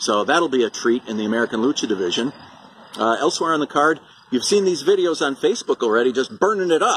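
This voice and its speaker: A man talks at a very fast pace over light background noise, the sound dry with no echo. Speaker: wrestling promoter. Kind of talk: wrestling promo announcement. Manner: animated, hyped-up promoter delivery. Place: garden. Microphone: phone near.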